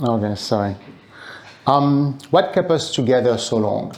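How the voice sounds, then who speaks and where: Audible room echo surrounds a man's voice. He speaks at a medium pitch with very wide pitch swings. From France. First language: French. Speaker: speaker at event. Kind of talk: public talk.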